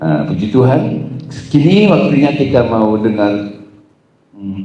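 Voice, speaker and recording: Audible room echo colors the voice of a man with a West Javanese accent, who speaks with lively intonation at a fairly low pitch and a moderate pace. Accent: Sundanese. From Batak, North Sumatra. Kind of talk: event hosting.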